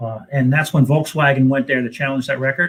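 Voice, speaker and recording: A man talks with a fairly high pitch and ordinary pitch variation. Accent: New Jersey. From New Jersey. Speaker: racing team owner. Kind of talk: panel discussion. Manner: halting.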